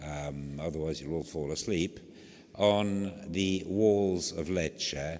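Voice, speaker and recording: A man with a very deep, low pitch speaks at a very slow pace. His pitch variation is ordinary, and the room echo is audible. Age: old. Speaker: archaeologist. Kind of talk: lecture. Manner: clear diction; halting, many fillers.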